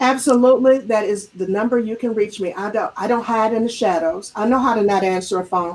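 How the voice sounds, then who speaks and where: Speaking at a fairly quick pace with hardly any pauses, a woman uses an unremarkable speaking voice, fairly high in pitch with ordinary pitch variation. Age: 60s. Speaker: business coach. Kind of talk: interview.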